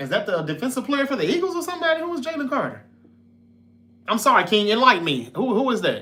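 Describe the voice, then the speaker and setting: A man's raised, projected voice at an extremely high pitch, bright and sharp in tone, with very wide pitch swings at a very fast pace. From North Mississippi. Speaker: sports podcast host. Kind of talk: casual live-stream chat.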